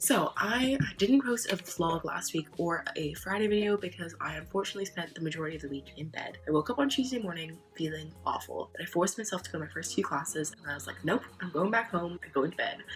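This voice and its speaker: With music in the background, a woman with a fairly low pitch and lively intonation talks at a very fast pace with hardly any pauses. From United Kingdom. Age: 20s. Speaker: student and book vlogger. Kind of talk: casual talk to camera.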